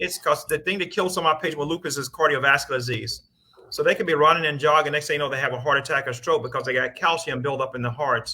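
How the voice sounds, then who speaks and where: A man speaks at a fairly high pitch with a bright, sharp tone, ordinary pitch variation and an American accent. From US South. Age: 60s. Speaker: rheumatologist. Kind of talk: panel Q&A. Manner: fast.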